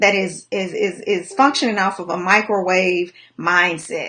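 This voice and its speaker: Her pitch shows ordinary variation as the woman speaks. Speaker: life coach. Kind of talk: motivational livestream talk. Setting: live video stream. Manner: fast.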